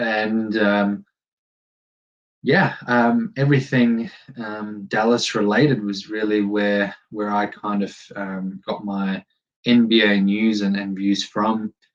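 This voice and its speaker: Speaking very slowly with an American accent, a man with a fairly low pitch keeps a monotone, flat intonation. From Germany. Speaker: podcast host. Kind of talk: casual solo podcast introduction. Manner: halting, many fillers.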